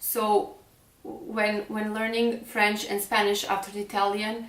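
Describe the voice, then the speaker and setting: Amid noticeable background noise and audible room echo, a woman speaks at a fairly high pitch and a fairly slow pace with fairly even intonation. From Serbia. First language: Serbian. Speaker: fashion blogger. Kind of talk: vlog monologue. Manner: hesitant.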